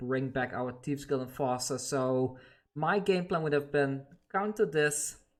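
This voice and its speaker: A man with a non-native accent speaks at a fairly high pitch and moderate pace. His pitch varies in an ordinary way, with music in the background. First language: not English. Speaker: gaming YouTuber. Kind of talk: gameplay commentary; channel outro. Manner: casual, conversational.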